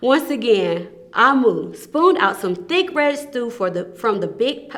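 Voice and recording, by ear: Lively intonation carries speech delivered at a fairly slow pace. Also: woman, fairly bright tone.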